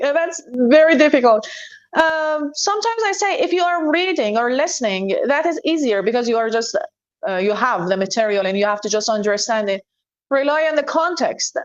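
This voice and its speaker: A woman with a Persian accent speaks high, her pitch swinging very widely. Her pace is moderate. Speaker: English teacher. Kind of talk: interview.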